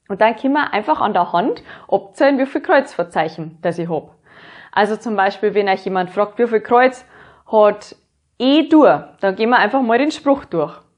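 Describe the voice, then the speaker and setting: A woman talks at a moderate pace in a fairly high voice with a Bavarian accent. Her intonation is lively. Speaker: music teacher. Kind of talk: educational lesson.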